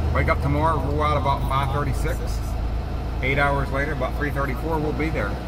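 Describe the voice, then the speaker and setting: A man speaks at a moderate pace against loud background noise. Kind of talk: casual vlog chat. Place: car. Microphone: camera far.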